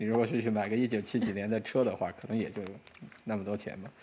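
At a very fast clip, a man talks with a fairly low pitch. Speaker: software engineer and amateur pilot. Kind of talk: casual interview chat.

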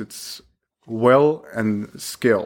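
A man with a medium pitch is heard in a very clean recording with a silent background. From Pakistan, then Ohio from age eleven. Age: 20s. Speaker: medical resident. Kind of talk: casual interview chat.

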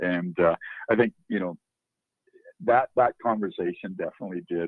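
A man speaks with a western Canadian accent. His pace is fairly quick. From northern Alberta, Canada. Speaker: country musician. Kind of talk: interview.

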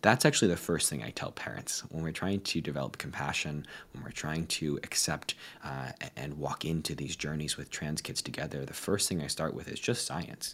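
A man with an American accent speaks at a moderate pace with ordinary pitch variation. His pitch is very deep and low, with vocal fry. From United States. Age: 20s. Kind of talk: interview.

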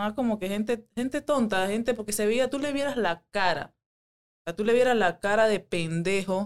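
An unremarkable speaking voice from a woman, moderate in pace and ordinary in pitch variation. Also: fairly high pitch for a woman. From Panama, Panama City area. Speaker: MMA fighter. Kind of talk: casual chat.

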